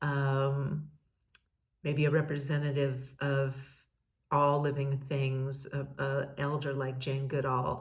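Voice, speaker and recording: A woman's very deep, low, somewhat breathy voice, monotone and flat, at a very slow pace with audible room echo. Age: 60s. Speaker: podcast host, peace educator. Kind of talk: casual monologue. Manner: halting, many fillers and repeats.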